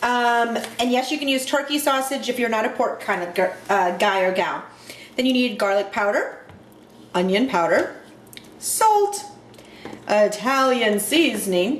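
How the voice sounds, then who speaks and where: A high-pitched woman's voice with lively intonation and long, frequent pauses, plus noticeable background noise and audible room echo. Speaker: home cooking video host. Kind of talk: cooking tutorial. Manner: fast; animated.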